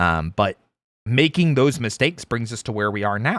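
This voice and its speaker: A gravelly man's voice, fairly low in pitch, comes through a very clean recording with a silent background. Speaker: vtuber streamer. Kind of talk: casual chat. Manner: casual, hesitant with fillers.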